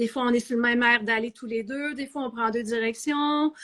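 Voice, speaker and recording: In a Quebec accent, a woman talks at a moderate pace, her high voice bright and sharp in tone, with fairly even intonation. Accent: Québécois French. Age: 50s. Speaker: novelist, former math teacher. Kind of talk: interview. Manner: hesitant, with false starts.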